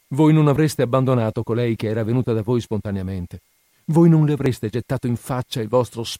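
Someone is reading aloud in a natural voice with ordinary pitch variation in a quiet background.

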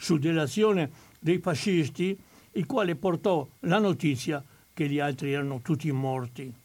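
On a very clean recording with a silent background, a man uses a normal speaking voice, fairly high in pitch, at a fairly slow pace with lively intonation. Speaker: historian of the resistance. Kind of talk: historical talk. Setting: studio.

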